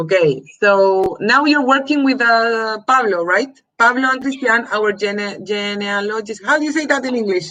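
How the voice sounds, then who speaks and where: Woman with a Spanish accent, fairly high pitch and lively intonation, at a moderate pace with hardly any pauses. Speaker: host of adoptee search live stream. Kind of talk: live stream interview. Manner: halting.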